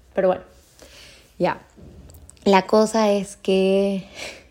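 A woman's medium-pitched voice with a dark, mellow tone and monotone, flat intonation. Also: long, frequent pauses. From Ecuador (Cuenca, moved to Guayaquil at 15). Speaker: psychologist, podcast host. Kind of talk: personal storytelling monologue. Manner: casual, with fillers and self-interruptions.

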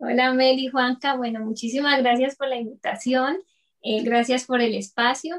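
This woman has an ordinary speaking voice and talks at a moderate pace. Her intonation stays fairly even. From Colombia, Bucaramanga. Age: 30s. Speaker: entrepreneur, dental lab technician. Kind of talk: interview.

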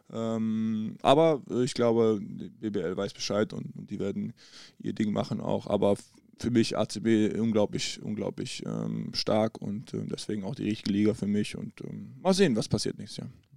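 The man talks at a moderate pace, with big swings in loudness. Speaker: professional basketball player. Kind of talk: casual chat. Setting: in person at a table in a hotel.

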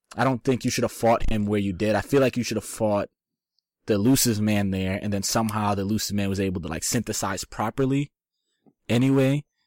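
In a normal speaking voice, a man with fairly low pitch talks at a fairly quick pace with fairly even intonation, the sound dry and close with no echo. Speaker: graphic designer. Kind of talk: casual chat.

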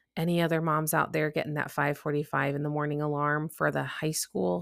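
On a very clean recording with a silent background, a woman speaks with a Midwestern US accent. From US Midwest; Chicago. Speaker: podcast host and coach. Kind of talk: solo podcast monologue. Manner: casual, chatty.

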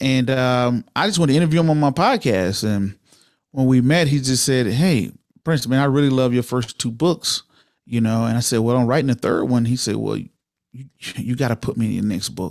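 In a normal speaking voice, a man with an American accent talks at a fairly quick pace and a medium pitch with ordinary pitch variation. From Georgia, US South (Waynesboro near Augusta). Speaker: military veteran and podcaster. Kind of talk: casual interview.

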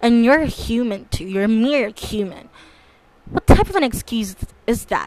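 Over noticeable background noise, a woman talks with a fairly high pitch. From Philippines. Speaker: podcaster. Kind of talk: casual monologue.

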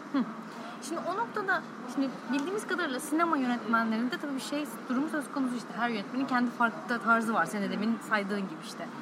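A woman talks very fast at a high pitch, with audible room echo and noticeable background noise. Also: lively intonation. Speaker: podcast host. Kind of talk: interview. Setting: cafe.

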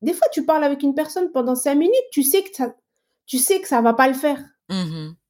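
Her high pitch and lively intonation come with big swings in loudness. The woman speaks at a fairly quick pace. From Algeria. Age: 40s. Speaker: engineer and entrepreneur. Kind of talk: casual interview.

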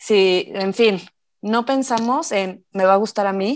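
A woman with a normal speaking voice, medium pitch and ordinary pitch variation, at a fairly slow pace, in a very clean recording with a silent background. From Mexico, Morelia (Michoacán). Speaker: mom and educational toy maker. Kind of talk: casual interview.

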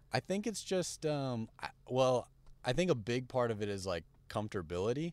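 A man at a moderate pace with very wide pitch swings, in a very clean recording with a silent background. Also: medium pitch for a man. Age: 20s. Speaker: fashion brand founder. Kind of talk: casual chat. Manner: halting, many fillers.

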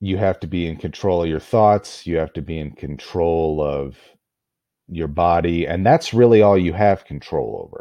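Speaking with a very deep, low pitch, a man shows ordinary pitch variation and big swings in loudness. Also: moderate pace. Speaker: podcast host. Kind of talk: solo podcast monologue. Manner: halting with many filler words.

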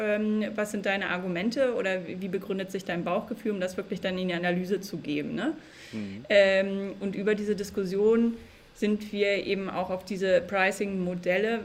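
At a moderate pace, a woman with a normal speaking voice talks at medium pitch with fairly even intonation. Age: 30s. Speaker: organizational consultant and coach. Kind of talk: interview.

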